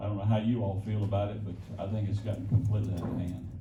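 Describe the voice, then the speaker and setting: Audible room echo surrounds the speaker. He is a man with a Memphis accent. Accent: Southern US (Memphis). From US South, Memphis, Tennessee. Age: 70s. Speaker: former bodyguard, guest speaker. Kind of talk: onstage interview before audience. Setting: stage with audience.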